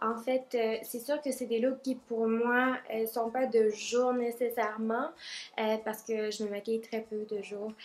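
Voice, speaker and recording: Very slowly, a woman speaks at a fairly high pitch with monotone, flat intonation. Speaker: makeup vlogger. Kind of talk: makeup tutorial.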